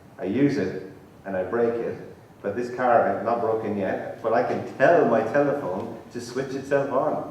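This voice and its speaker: A man at medium pitch and a moderate pace with ordinary pitch variation, amid audible room echo and noticeable background noise. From Ireland, Tipperary. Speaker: professor, conference speaker. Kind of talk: lecture. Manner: conversational, informal.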